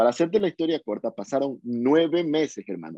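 A man's voice, fairly high in pitch, moves at a moderate pace with lively intonation. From Ecuador, Guayaquil. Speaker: urban music singer. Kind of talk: interview. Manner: halting, many repetitions.

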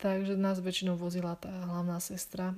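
A woman's moderately paced speech stays monotone, with flat intonation. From Slovakia. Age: 20s. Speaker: podcaster, returned volunteer. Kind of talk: casual Q&A monologue.

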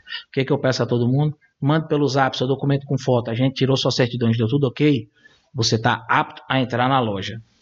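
This man speaks at a fairly quick pace and a medium pitch, sounding somewhat breathy. His loudness stays very even, with ordinary pitch variation. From Brazil, São Paulo. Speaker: gun shop and shooting club owner. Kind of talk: interview.

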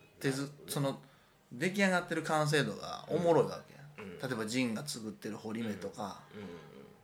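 Speaking at a moderate pace, a man with fairly high pitch and vocal fry makes very wide pitch swings. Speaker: artist. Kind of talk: casual chat. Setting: rented apartment room.

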